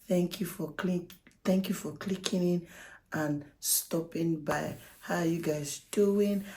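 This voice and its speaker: Somewhat breathy and dark, mellow in tone, a woman's fairly low voice carries fairly even intonation. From Nigeria. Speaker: YouTuber. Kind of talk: casual vlog talk to camera.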